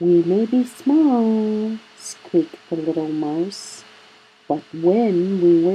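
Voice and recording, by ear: Someone reads a text aloud. Their voice sounds natural.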